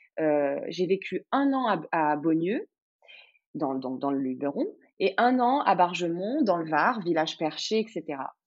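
A woman speaks very slowly in a fairly low pitch. Her pitch swings very widely. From French Riviera, Cannes. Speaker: guesthouse owner. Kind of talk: casual interview. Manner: hesitant, many fillers.

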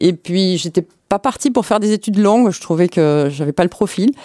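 A woman talks at a moderate pace in a fairly low pitch, with a dark, mellow tone. The sound is dry and close, with no echo. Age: 50s. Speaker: hospital pharmacy department head. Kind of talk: interview. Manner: hesitant, many fillers.

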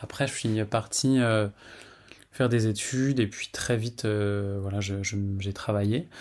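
Over a quiet background, a man speaks at a fairly low pitch and very slow pace, with fairly even intonation and long, frequent pauses. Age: 40s. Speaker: testimony contributor, abuse survivor. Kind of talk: testimony. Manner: halting, with many fillers and repetitions.

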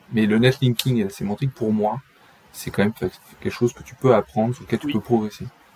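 Over noticeable background noise, a man talks at a fairly quick pace in a medium-pitched voice with fairly even intonation, the sound dry and close with no echo. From France, raised partly in Brittany. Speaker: SEO agency co-founder. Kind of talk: interview.

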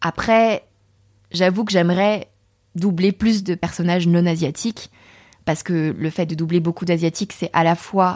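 Long, frequent pauses break up a woman's fairly slow speech. Her voice is fairly low with fairly even intonation, recorded dry and close with no echo. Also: very clean recording, silent background. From France, Saint-Germain-en-Laye (Paris area). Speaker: voice actor. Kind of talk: interview.

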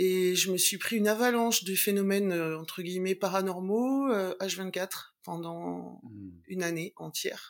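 Speaking at a fairly slow pace, a woman with medium pitch has an unremarkable speaking voice. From Latin American family background. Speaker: TV news video editor. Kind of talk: interview.

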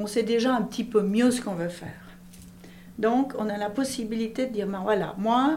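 At a moderate pace, a woman speaks at a fairly high pitch with ordinary pitch variation, with audible room echo and noticeable background noise. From Switzerland, Valais (Monthey). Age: 50s. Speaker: business owner. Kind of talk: interview.

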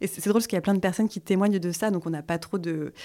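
A woman's dark, mellow, medium-pitched voice with fairly even intonation, on a very clean recording with a silent background. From France, Vosges. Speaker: sustainable interior design school founder. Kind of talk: casual interview.

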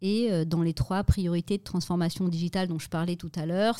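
On a very clean recording with a silent background, a woman speaks in a fairly low, dark, mellow voice with fairly even intonation. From French Alps, Vercors. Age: 40s. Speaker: tech executive. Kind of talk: interview.

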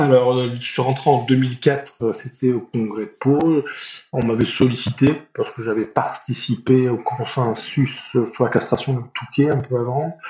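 A man's fairly even intonation comes with a somewhat breathy quality. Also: medium pitch for a man, fairly slow pace. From northern France (Nord). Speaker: veterinarian, association president. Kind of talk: interview. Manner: halting, many hesitations and repetitions.

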